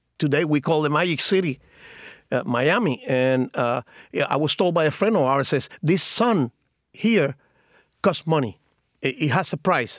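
Speaking with a Spanish accent, a man uses lively intonation at a fairly high pitch and a moderate pace, with long, frequent pauses and very even loudness. The recording is very clean, with a silent background and a dry, close sound with no echo. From Cuba. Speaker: former drug smuggler. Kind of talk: interview. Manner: halting, many fillers and repeated words.

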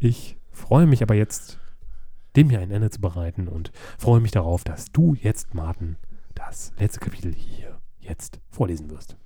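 A man's fairly low, dark and mellow voice, somewhat breathy, with lively intonation, a fairly slow pace and big swings in loudness. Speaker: podcast co-host. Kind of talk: casual chat.

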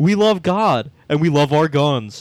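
This man has a normal speaking voice with a fairly high pitch. His intonation is lively. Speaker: podcast host. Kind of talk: casual comedic podcast banter, reading comments. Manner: joking, laid back, sarcastic.

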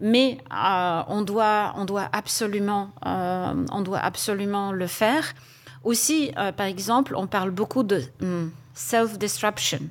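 A woman with a Polish accent speaks at a very slow pace, her medium pitch carrying lively intonation. The recording is very clean, with a silent background. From Poland. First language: Polish (speaking French). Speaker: HR executive. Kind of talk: panel discussion.

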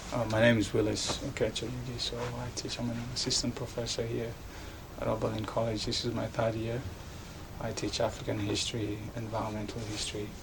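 Noticeable background noise sits behind a man who keeps up a fairly quick pace. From Kenya, Nairobi. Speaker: professor. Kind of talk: interview. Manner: halting, with frequent fillers and restarts.

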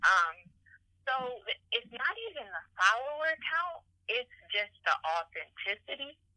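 Raising and projecting her voice, a woman with a bright, sharp tone swings very widely in pitch and leaves long, frequent pauses. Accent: American. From Detroit, US. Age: 20s. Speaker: attorney and lifestyle blogger. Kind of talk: casual interview. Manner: hesitant, many fillers.

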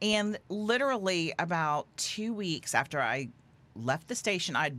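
An American-accented woman's pitch swings very widely. The recording is very clean with a silent background. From Houston, Texas. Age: 50s. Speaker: magazine publisher and former broadcaster. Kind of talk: casual chat.

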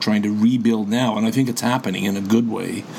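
With a Canadian accent, a man speaks over noticeable background noise. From Canada. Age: 70s. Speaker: veteran podcaster, retiree. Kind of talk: casual interview chat.

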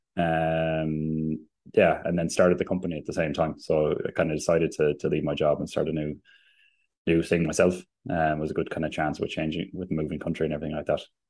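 A man with a Limerick accent talks at a fairly quick pace. His pitch is very deep and low, and his intonation is monotone and flat. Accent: Limerick Irish. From Limerick, Ireland. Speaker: company CEO and electricity expert. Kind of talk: interview.

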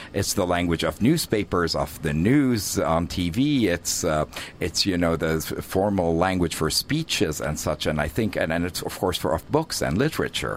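A man with a very deep, low pitch and lively intonation, at a moderate pace with hardly any pauses, over noticeable background noise. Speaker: radio host and Arabic teacher. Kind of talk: radio interview. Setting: radio studio. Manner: enthusiastic.

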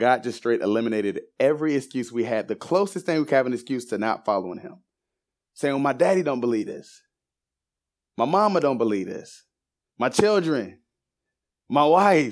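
An animated man with an American accent talks at a moderate pace, taking long, frequent pauses. His pitch swings very widely, and the recording is very clean with a silent background. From US South, Savannah, Georgia. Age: 20s. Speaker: guest Bible teacher. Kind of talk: sermon-style Bible teaching. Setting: church class with audience.

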